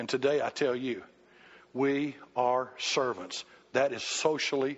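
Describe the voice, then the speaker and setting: Speaking at a very slow pace, a man with a Southern US accent keeps a medium pitch. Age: 60s. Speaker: pastor. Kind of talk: sermon. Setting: church. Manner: animated.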